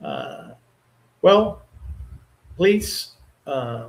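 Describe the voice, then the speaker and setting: A man speaks with a Portuguese accent. His pace is very slow. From Brazil. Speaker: astrologer. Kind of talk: live stream talk. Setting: live stream. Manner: halting.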